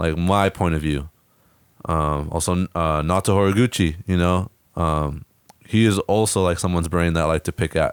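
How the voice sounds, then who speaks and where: With an American accent, a man speaks at a very deep, low pitch and moderate pace, with fairly even intonation, very even loudness, and a dry, close sound with no echo. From Northern California coast (Fort Bragg). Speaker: soccer coach. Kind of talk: casual chat.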